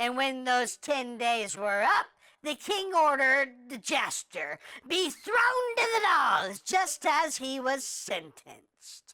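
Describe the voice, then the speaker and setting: A female-sounding cartoonish character voice, high in pitch, delivers a deadpan tone at a fairly slow pace. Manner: chatty, deadpan storytelling.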